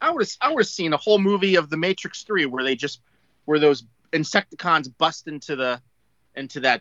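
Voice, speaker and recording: Here is a man with an ordinary speaking voice, pitched fairly high. His intonation is lively. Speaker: podcast co-host, former toy company employee. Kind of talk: casual chat. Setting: video call.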